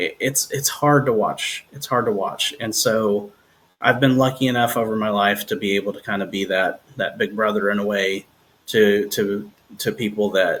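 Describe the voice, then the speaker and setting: This is a plain, everyday voice from a man with fairly low pitch. His pace is moderate and his intonation fairly even. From New Jersey. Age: 40s. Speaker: singer-songwriter. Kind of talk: casual interview chat.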